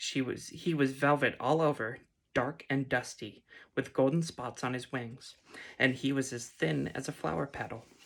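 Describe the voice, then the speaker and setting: Quiet and gentle in tone, a woman speaks with a very deep, low pitch. Her pace is moderate, with ordinary pitch variation. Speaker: ASMR reader. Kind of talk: read story. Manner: gentle, quiet.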